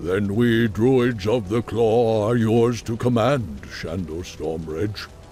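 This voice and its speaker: A man uses a put-on character voice at a medium pitch and a very slow pace. Clear background noise sits behind him. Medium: video game.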